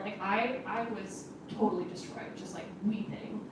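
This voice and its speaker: Audible room echo and noticeable background noise surround a woman's fairly high voice. She speaks at a fairly slow pace with fairly even intonation. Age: 30s. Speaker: panelist at a parish talk. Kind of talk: personal testimony on a panel.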